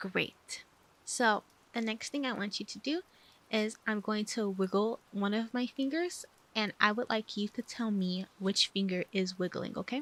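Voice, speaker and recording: A soft-spoken woman talks at a fairly slow pace in a fairly high pitch with a gentle tone. Her pitch varies in an ordinary way, and the sound is dry and close with no echo. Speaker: ASMR roleplay doctor (VTuber). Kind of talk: medical exam roleplay ASMR, personal attention. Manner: soft-spoken, gentle.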